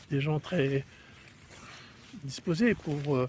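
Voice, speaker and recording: Speaking at a fairly slow pace, a man uses a dark, mellow tone. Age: 60s. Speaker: golf vlogger. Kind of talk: casual monologue while walking the dog. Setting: outdoors walking the dog. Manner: hesitant, many fillers.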